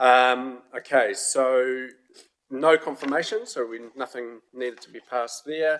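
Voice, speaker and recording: At a fairly slow pace, a man with a New Zealand accent speaks at medium pitch. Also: ordinary pitch variation, big swings in loudness. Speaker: committee chair. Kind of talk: council meeting.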